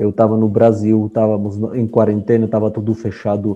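In an Armenian accent, a man speaks with a fairly low pitch, a dark, mellow tone and monotone, flat intonation. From Armenia (Soviet Union). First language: Armenian (speaking Portuguese). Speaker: author. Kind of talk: interview.

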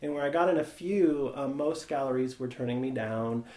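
A man speaks with an American accent and ordinary pitch variation. Noticeable background noise runs under his voice. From US Midwest, Nebraska. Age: 40s. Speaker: photography professor and artist. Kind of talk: casual interview conversation.

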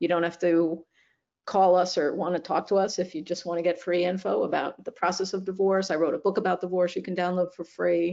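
A woman talks at a fairly quick pace with a fairly low pitch and fairly even intonation. Her tone is slightly mellow, with vocal fry.

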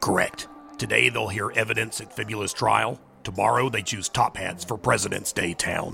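Putting on a raspy character voice, a man speaks at a moderate pace with a fairly low pitch and ordinary pitch variation. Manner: formal, dry, precise.

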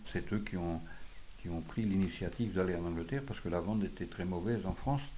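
Audible room echo surrounds a man whose fairly low voice has a dark, mellow tone. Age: 80s+. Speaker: retired onion seller. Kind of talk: testimony.

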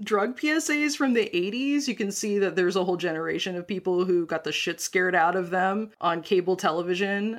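With an American accent and an ordinary speaking voice, a woman talks at a medium pitch and a fairly quick pace, lively in intonation and with hardly any pauses. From US Midwest, North Dakota. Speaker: podcast co-host. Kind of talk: casual chat.

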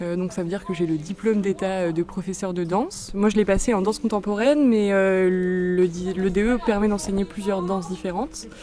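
Over music in the background, a woman talks with hardly any pauses at a medium pitch and ordinary pitch variation. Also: moderate pace. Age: 20s. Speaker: dance teacher. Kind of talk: interview. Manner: halting.

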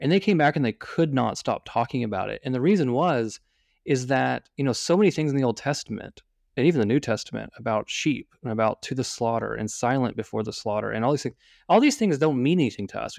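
A man with an American accent at medium pitch and a very fast pace, dry and close with no echo, over a quiet background. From Oklahoma. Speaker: deacon and diocesan lawyer. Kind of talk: casual chat.

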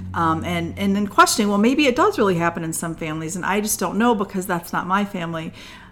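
Pitched in a woman's medium range with ordinary pitch variation, her very fast speech has hardly any pauses over noticeable background noise. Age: 50s. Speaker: podcast co-host. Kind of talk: casual chat. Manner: animated.

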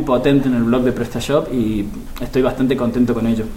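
Over noticeable background noise and audible room echo, a man with an Argentine accent talks fairly quickly at a medium pitch. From Argentina. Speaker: digital marketing expert. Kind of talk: interview. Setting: at a live marketing conference.

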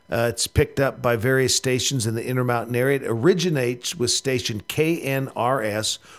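A man with an American accent speaks at a moderate pace, his pitch medium, with ordinary pitch variation. It is a normal speaking voice. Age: 50s. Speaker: rugby coach. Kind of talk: radio interview.

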